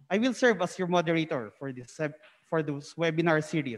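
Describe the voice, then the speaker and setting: A high-pitched man at a fairly quick pace. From Philippines. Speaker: webinar moderator. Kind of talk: moderated webinar. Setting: conference hall, live stream. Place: hall. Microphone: handheld.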